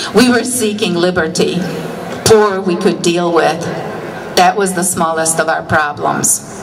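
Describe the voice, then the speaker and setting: There is audible room echo and noticeable background noise as a woman speaks. She talks at a moderate pace with ordinary pitch variation. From Hungary. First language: Hungarian. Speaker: political rally speaker. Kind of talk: rally speech.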